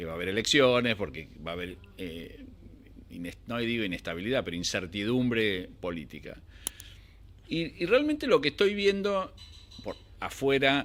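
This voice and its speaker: A man of medium pitch speaks at a moderate pace, his pitch swinging very widely and his loudness rising and falling a great deal. He leaves long, frequent pauses. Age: 60s. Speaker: financial analyst. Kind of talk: interview. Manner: halting.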